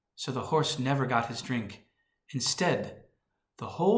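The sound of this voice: Against a quiet background, this is an unforced reading voice with ordinary pitch variation.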